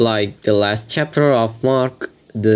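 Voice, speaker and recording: With a non-native accent, a man speaks at a fairly slow pace using fairly even intonation. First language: not English. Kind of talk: religious commentary talk to camera.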